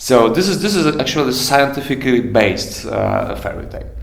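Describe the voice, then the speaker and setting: Audible room echo and noticeable background noise surround a man speaking with a Polish accent. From Poland. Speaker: musician and fairy tale writer. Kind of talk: interview. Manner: halting.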